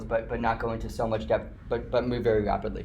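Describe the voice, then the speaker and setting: The speech comes at a very fast pace. Noticeable background noise and audible room echo sit behind it. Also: man. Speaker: guest lecturer. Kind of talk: lecture. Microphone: slightly echoey.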